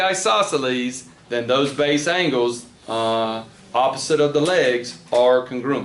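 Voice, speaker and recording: Noticeable background noise and audible room echo fill the recording. A man speaks at a very slow pace with lively intonation. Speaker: math teacher. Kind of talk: classroom lecture.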